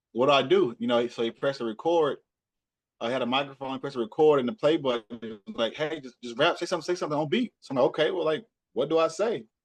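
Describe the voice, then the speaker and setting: Here a man talks at a very fast pace. He speaks with a Southern US accent. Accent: Southern US accent, medium strength. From Texas, Hillsboro area near Dallas. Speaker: rapper and podcaster. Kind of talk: interview. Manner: casual, repetitive stammering restarts.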